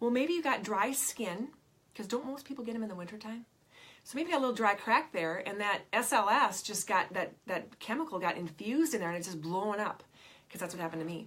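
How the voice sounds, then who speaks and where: Animated and with lively intonation, a woman at a fairly high pitch talks at a very fast pace. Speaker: essential oils seller teaching a class. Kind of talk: sales class presentation.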